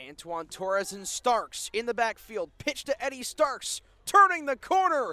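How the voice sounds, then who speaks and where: A man uses a raised, projected voice at an extremely high pitch with very wide pitch swings. He speaks at a fairly slow pace, with a dry, close sound and no echo. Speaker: sports play-by-play announcer. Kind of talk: live football play-by-play call.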